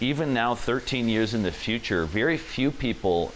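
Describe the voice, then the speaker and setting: With music in the background, a man with an American accent and fairly low pitch speaks at a moderate pace, his pitch swinging very widely. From US, Maryland (Washington DC suburbs). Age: 30s. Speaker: restaurant entrepreneur. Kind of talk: interview testimony.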